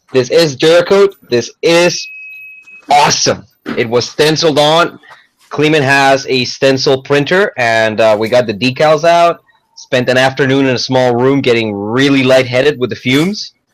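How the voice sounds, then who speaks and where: Delivered at a moderate pace, the animated voice keeps a very even loudness and ordinary pitch variation. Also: man, medium pitch for a man. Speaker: gun talk show co-host. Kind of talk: casual chat.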